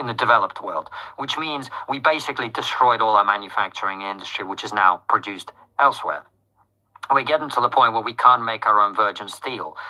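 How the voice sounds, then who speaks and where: A man talks at a fairly quick pace in a bright, sharp tone. His pitch is medium, with ordinary variation. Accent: British. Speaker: political commentator. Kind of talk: interview.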